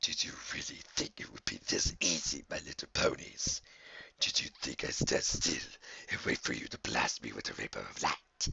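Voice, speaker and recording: In a raspy, put-on character voice, a man speaks at a moderate pace. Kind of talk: read story. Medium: read story. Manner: mocking, menacing.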